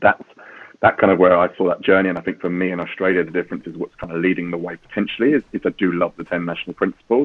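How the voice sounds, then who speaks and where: Talking at a very fast pace, a man with a British accent has a very deep, low pitch. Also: ordinary pitch variation. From UK. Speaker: safeguarding executive. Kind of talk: interview conversation.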